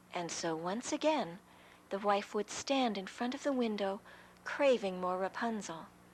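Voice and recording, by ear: The words are read out loud in a natural-sounding voice.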